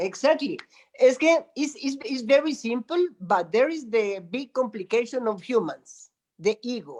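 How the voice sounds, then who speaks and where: With a Spanish accent, the speaker goes at a fairly slow pace. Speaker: spiritual teacher, meditation center guardian. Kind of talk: conversational interview.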